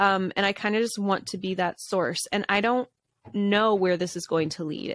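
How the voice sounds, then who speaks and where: A woman talks at a moderate pace and a medium pitch. Her sound is dry and close, with no echo. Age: 30s. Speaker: podcast host, stay-at-home mom and content creator. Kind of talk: casual solo chat. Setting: home studio in basement.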